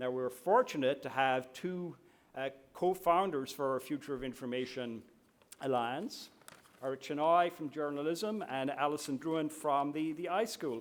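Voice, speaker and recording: Speaking at a moderate pace, a man with an Irish accent has a fairly high voice and ordinary pitch variation. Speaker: university administrator. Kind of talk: opening speech. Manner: formal.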